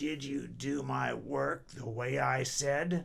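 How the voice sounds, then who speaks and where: A man puts on a raspy character voice. He speaks at a very slow pace. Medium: read story. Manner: bossy, demanding.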